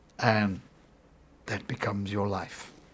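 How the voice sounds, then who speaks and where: A man's voice comes through somewhat breathy. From South Africa, Cape Town (Bonteheuwel). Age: 60s. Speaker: ex army lieutenant, military contractor. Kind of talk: interview.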